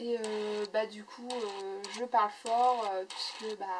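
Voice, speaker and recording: Over noticeable background noise, a woman talks very slowly with a fairly high pitch and a monotone, flat intonation. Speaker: scrapbooking YouTuber. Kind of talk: casual chat. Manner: loud; halting, many fillers.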